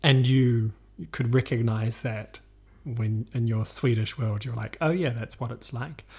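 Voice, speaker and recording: A man with a New Zealand accent talks at a medium pitch and a fairly slow pace, somewhat breathy with fairly even intonation. The recording is very clean, with a silent background. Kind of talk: casual chat.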